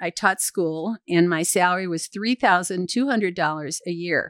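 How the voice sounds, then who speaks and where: A woman with an ordinary speaking voice and fairly low pitch at a moderate pace, in a very clean recording with a silent background and a dry, close sound with no echo. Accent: American. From US Midwest (Michigan). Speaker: podcast host's mother. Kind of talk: interview, life story.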